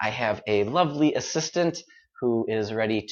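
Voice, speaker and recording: With a General American accent, a man speaks using very wide pitch swings. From United States. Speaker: English teacher. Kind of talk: live-stream pronunciation lesson. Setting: live stream. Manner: clear, deliberately paced.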